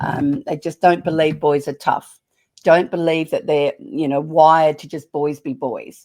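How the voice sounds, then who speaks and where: Speaking with an Australian accent, a woman has a very deep, low pitch and a dark, mellow tone, moving at a fairly slow pace with ordinary pitch variation and big swings in loudness over a very clean recording with a silent background. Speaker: parenting author. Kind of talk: podcast interview.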